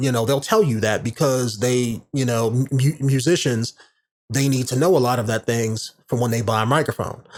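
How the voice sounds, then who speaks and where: A man with a plain, everyday voice talks at a medium pitch and moderate pace, his pitch varying in an ordinary way. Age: 30s. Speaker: podcast host. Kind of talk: casual monologue tutorial. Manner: casual, filler-heavy.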